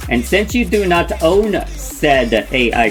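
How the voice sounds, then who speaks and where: A man's voice with music in the background. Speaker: VTuber streamer. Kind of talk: livestream commentary.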